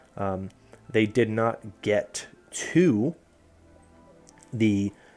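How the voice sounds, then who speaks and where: A man's fairly low voice is heard with music behind it. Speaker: esports commentator. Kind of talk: casual analysis talk to camera.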